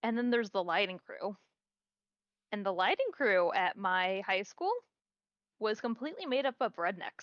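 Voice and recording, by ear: A woman speaks at a medium pitch with lively intonation and a fairly slow pace. Long, frequent pauses break up the dry, close sound with no echo.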